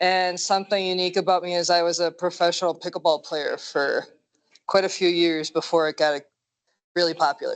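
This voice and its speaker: In a strong Minnesotan accent, a woman talks fairly quickly in a flat monotone against a quiet background. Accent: thick Minnesota. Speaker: dispatcher, volunteer applicant. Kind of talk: self-introduction at meeting. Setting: meeting room with audience.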